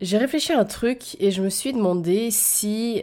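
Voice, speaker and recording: With a dark, mellow tone and medium pitch, a woman speaks in lively intonation. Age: 20s. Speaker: podcast host. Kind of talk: storytime monologue. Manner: unscripted, hesitant.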